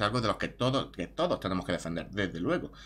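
Talking at a very fast pace, a man with a fairly low pitch shows vocal fry. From Spain. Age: 30s. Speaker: YouTuber; vlogger. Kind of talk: opinion monologue; casual opinion vlog. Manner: halting. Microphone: webcam.

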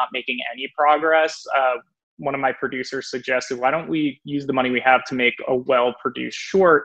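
A man talks at a fairly quick pace with fairly even intonation. The background stays quiet. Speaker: guest. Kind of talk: interview answer. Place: home room. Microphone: video call.

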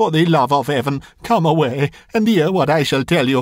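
Using a put-on character voice, a man speaks at fairly high pitch and a moderate pace, shaky and with lively intonation. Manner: pleading, fearful.

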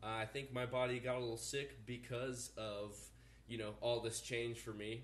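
A man with an ordinary speaking voice and a fairly low pitch talks at a moderate pace with fairly even intonation over light background noise. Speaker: vlogger. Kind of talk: casual vlog chat. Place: kitchen. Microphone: phone near.

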